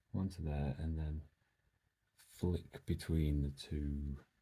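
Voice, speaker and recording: Soft-spoken man in a British accent, very deep and low, dark and mellow, somewhat breathy. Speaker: DIY electronics hobbyist YouTuber. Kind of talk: casual tutorial.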